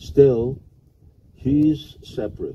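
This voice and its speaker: A man is speaking. His voice is somewhat breathy. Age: 70s. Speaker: monk teaching a seminar. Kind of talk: lecture with consecutive interpretation.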